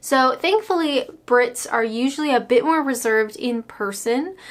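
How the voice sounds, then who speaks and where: In a high pitch, a woman talks at a fairly slow pace. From Canada. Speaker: YouTuber. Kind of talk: casual vlog monologue. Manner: animated.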